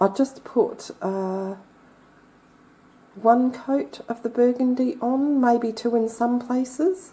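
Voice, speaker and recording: A woman with an Australian accent and a high pitch speaks very slowly, leaving long, frequent pauses. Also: ordinary pitch variation. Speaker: crafter. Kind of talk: tutorial. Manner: casual, chatty.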